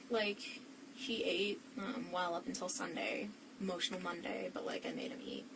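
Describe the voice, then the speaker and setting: Over noticeable background noise, a woman of medium pitch talks at a moderate pace with lively intonation. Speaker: witness (suspect's girlfriend). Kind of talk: police interview. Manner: frequent 'like' fillers.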